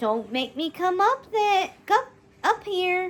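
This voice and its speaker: Putting on a character voice, a woman speaks extremely high at a fairly slow pace, her pitch swinging very widely. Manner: stern, warning.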